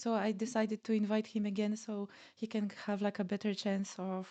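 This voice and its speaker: Her tone is dark and mellow at a medium pitch. The woman's voice sounds dry and close, with no echo. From Poland. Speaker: podcast host, penetration tester. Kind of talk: casual interview chat. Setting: livestream video call. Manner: hesitant, many fillers.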